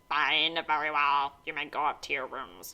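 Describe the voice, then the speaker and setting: Using a put-on character voice, a woman speaks at a very deep, low pitch and a moderate pace with ordinary pitch variation. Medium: read story.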